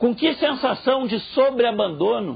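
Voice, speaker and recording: A man speaks with lively intonation. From southern Brazil (Rio Grande do Sul). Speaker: professor. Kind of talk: lecture. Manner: animated.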